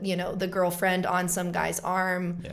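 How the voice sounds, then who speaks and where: A woman speaks at a moderate pace with a fairly low pitch. Audible room echo surrounds her voice. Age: 20s. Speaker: actress and singer-songwriter. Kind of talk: casual chat.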